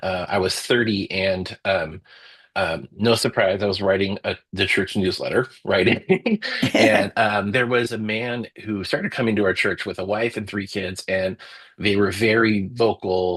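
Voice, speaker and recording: With an unremarkable speaking voice, a man talks at a fairly slow pace in a fairly low pitch with fairly even intonation, the sound dry and close with no echo. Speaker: storyteller and book editor. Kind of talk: interview answer.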